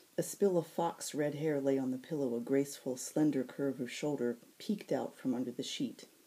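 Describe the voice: A woman speaks at a moderate pace with an extremely low pitch, a dark, mellow tone, a slightly husky edge and fairly even intonation.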